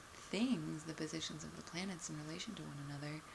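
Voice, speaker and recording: A woman speaks in a relaxed, soft-spoken way. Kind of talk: casual talk to camera, soft-spoken explanation. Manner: soft-spoken, relaxed.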